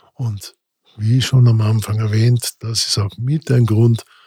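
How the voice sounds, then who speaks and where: A man's medium-pitched, somewhat breathy voice with fairly even intonation, dry and close with no echo. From Austria, Vorarlberg (Montafon). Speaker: emergency doctor, podcast host. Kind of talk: personal storytelling monologue. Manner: casual, with filler hesitations.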